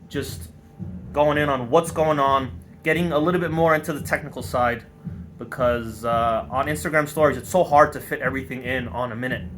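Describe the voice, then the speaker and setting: A man's voice with ordinary pitch variation over background music. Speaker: artist, painter and car builder. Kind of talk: walkthrough tour, casual monologue. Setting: in his studio. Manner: halting, pauses on words; casual, loose.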